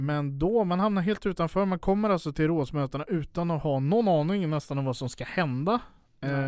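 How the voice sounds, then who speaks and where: In an ordinary speaking voice, a man speaks at a fairly quick pace, his pitch fairly high with ordinary pitch variation. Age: 20s. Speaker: podcast co-host. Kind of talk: casual political discussion. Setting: studio.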